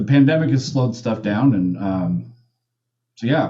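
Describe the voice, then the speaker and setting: Somewhat breathy speech delivered at a moderate pace. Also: man. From Japan. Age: 30s. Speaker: hacker. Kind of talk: podcast interview. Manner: animated.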